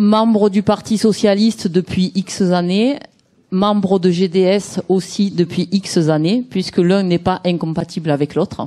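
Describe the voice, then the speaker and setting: A woman with a Provençal accent speaks very slowly at a medium pitch, her dark, mellow tone carried by fairly even intonation and very even loudness. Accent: southern French (Provence). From Provence, southern France. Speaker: party activist. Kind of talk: speech at a political event.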